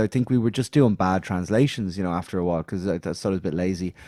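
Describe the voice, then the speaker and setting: A man with an Irish accent talks at a very fast pace with ordinary pitch variation. The sound is dry and close, with no echo. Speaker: musician. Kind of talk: interview. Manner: halting.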